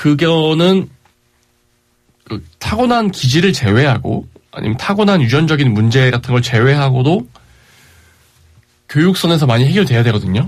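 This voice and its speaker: Somewhat breathy, this man talks at a moderate pace with lively intonation and long, frequent pauses. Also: fairly high pitch for a man. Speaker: radio host. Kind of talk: casual radio talk.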